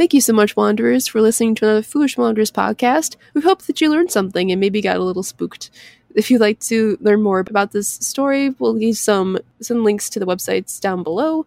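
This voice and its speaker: Recorded dry and close with no echo, a woman with an American accent talks very fast with lively intonation. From US Midwest. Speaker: podcast co-host. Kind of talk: casual chat.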